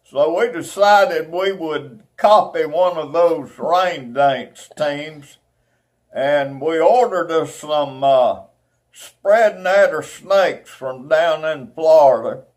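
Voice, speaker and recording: With an Alabama accent, a man speaks very slowly at a fairly high pitch with ordinary pitch variation. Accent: Southern US (Alabama). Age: 80s+. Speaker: former eagle scout. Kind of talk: oral history storytelling. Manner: halting, with many fillers.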